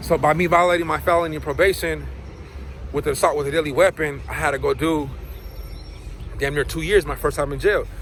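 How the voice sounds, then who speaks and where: A man with an American accent at a very fast pace, amid noticeable background noise. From Southern California, Inland Empire. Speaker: former prisoner, YouTuber. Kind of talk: casual vlog storytelling. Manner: stuttering, repeats words; casual, animated.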